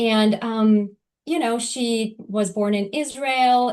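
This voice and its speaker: A woman with a Turkish accent speaks with fairly even intonation. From Turkey. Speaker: lawyer. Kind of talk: interview. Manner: hesitant, many fillers.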